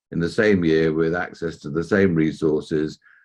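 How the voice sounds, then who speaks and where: In a southern English accent, a man talks with a very deep, low pitch and fairly even intonation against a quiet background. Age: 60s. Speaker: entrepreneur and mentor. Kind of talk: interview. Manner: hesitant fillers.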